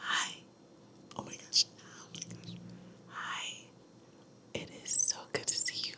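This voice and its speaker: A woman whispers at a very slow pace with long, frequent pauses and big swings in loudness over noticeable background noise. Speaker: ASMR creator. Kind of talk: casual talk to camera. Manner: whispered, soft-spoken.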